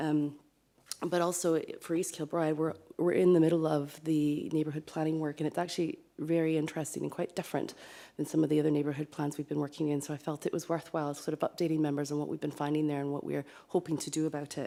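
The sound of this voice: A woman speaks fast in a low pitch with little pitch movement, vocal fry, and a dark, mellow tone.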